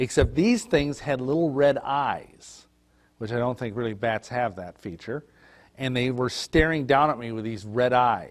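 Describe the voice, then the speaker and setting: The man talks at a moderate pace and a medium pitch, with ordinary pitch variation. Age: 50s. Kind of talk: testimony. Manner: halting.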